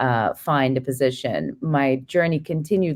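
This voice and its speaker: This woman has a very deep, low pitch. Her intonation stays fairly even. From Turkey. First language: Turkish. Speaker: startup founder. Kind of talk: interview. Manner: halting.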